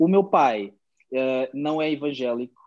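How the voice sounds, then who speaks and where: A man with a normal speaking voice talks at a fairly high pitch with fairly even intonation. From Angola, Luanda; moved to Portugal at eight. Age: 20s. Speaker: pastor and musician. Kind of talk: casual interview chat.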